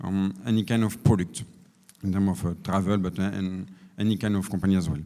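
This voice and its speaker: In a French accent, a man talks with a dark, mellow tone at a fairly low pitch. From France. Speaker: energy efficiency company representative. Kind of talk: panel presentation. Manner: halting.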